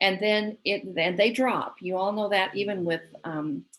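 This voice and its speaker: She speaks at a moderate rate with ordinary pitch variation. The woman has an unremarkable speaking voice, medium in pitch. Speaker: gardening presenter. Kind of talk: presentation.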